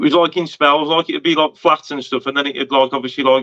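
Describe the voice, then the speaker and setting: This man's voice sits fairly high in pitch. He talks at a fairly quick pace in a monotone, flat intonation. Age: 30s. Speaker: podcast host. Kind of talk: casual podcast chat. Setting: podcast.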